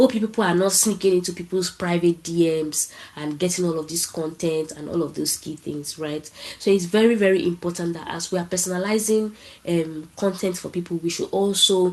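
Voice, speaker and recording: Fairly quick and fairly low-pitched, a woman with a strong Nigerian accent keeps fairly even intonation, though her loudness swings widely over noticeable background noise. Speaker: marketing professional. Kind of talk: panel talk. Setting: online event. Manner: casual, conversational.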